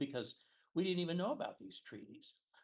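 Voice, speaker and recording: This voice belongs to a man. The rise and fall of his pitch is ordinary. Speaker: Bible class teacher. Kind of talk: lecture. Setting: church classroom with audience. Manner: halting, many repetitions and fillers.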